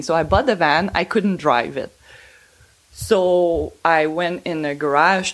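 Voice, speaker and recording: A woman speaks with a Quebec accent. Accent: Québécois French accent in English. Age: 40s. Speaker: van owner. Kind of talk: casual interview storytelling. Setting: at her home.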